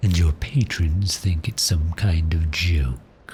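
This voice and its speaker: A man puts on a character voice with a very deep, low pitch at a fairly slow pace. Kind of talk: ASMR roleplay. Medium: solo performance. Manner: smooth, teasing, seductive.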